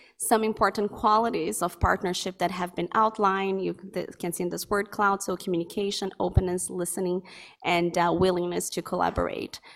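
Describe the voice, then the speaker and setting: On a very clean recording with a silent background, a woman speaks fairly quickly at a medium pitch, her intonation monotone and flat. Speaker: academic researcher. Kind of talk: conference presentation. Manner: fast.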